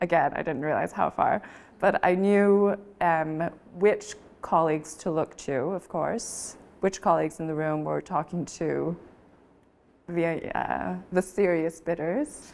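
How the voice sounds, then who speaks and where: A woman's unremarkable speaking voice, fairly low-pitched, with an American accent, fairly even intonation and a fairly slow pace, on a very clean recording with a silent background. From Taiwanese American. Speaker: auctioneer. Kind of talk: interview answer.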